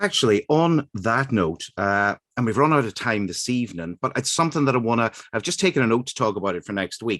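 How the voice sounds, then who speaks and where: Dry and close with no echo, a man with an Irish accent talks at a very fast pace, using lively intonation at a medium pitch. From Northern Ireland, Derry. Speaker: radio host. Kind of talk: radio interview.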